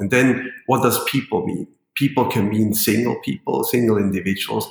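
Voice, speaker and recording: Speaking at a fairly quick pace with a Swiss German accent, a man with a fairly low, somewhat breathy voice shows ordinary pitch variation. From Switzerland, rural German-speaking part. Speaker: foundation chairperson and corporate lawyer. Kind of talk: podcast interview Q&A. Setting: remote call from hotel room. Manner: halting, many fillers.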